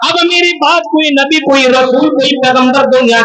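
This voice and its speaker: A man talks in a raised, projected voice at an extremely high pitch, his intonation fairly even over noticeable background noise. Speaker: Islamic scholar / preacher. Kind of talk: Islamic sermon at a religious conference. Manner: oratorical, preaching.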